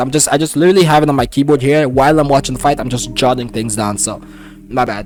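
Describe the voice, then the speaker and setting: Noticeable background noise sits behind a man talking at a very fast pace. His pitch is medium, with ordinary variation. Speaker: MMA commentator youtuber. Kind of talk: casual fight breakdown. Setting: home at keyboard watching fights. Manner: casual, filler-heavy.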